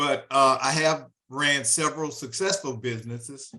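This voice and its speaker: Speaking at a fairly slow pace, a man has a fairly high pitch and a bright, sharp tone. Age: 60s. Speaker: audience member, business owner. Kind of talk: audience question.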